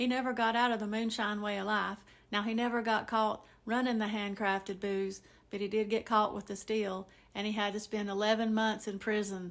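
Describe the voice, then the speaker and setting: A woman in a Southern Appalachian accent, fairly high-pitched and monotone, with flat intonation at a moderate pace, on a very clean recording with a silent background. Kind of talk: casual storytelling to camera.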